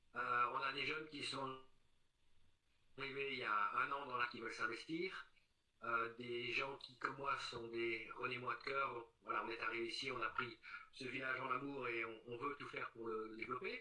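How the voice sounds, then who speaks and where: A man speaks with a bright, sharp tone. His pitch sits in the medium range. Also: fairly even intonation, moderate pace. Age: 60s. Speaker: local election candidate. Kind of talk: interview. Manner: hesitant, many fillers.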